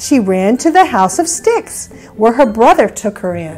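The woman talks very slowly. Behind her, faint music is playing. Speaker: storyteller grandmother. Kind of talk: children's story read-aloud. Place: home room.

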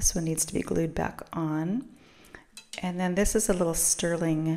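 Against a quiet background, a woman talks at a fairly low pitch in a monotone, flat intonation. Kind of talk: casual haul vlog narration.

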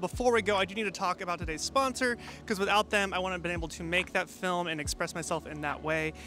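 Clear music plays behind a man with a high pitch for a man, the sound dry with no echo. He talks at a fairly quick pace with fairly even intonation. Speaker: filmmaker youtuber. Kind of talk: casual vlog chat with sponsor read. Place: garden. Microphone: handheld.

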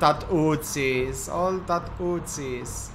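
Speech crawls along at a very slow pace. There is noticeable noise in the background. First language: Italian. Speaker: gaming streamer. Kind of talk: casual chat. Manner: halting.

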